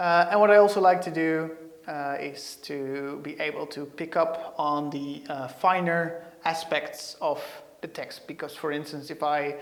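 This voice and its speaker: The speech moves at a fairly slow pace with a slight Dutch accent, and the room echo is audible. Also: man. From Netherlands. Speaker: software developer; presenter. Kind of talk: tech tutorial. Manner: hesitant, many fillers. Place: studio. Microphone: lapel.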